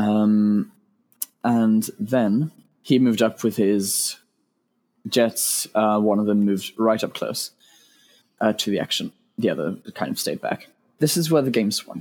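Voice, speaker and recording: With a British accent, a man talks at a fairly slow pace and fairly low pitch, with ordinary pitch variation and long, frequent pauses, on a very clean recording with a silent background. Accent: British, noticeable. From UK. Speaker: game tournament player. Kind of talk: casual podcast interview.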